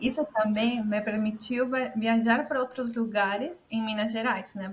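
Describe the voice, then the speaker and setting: Someone with a Spanish accent speaks at a moderate pace with fairly even intonation. Noticeable background noise runs underneath. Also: woman. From Peru. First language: Spanish (speaking Portuguese). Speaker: immigrant entrepreneur. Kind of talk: casual interview chat. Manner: halting, self-correcting.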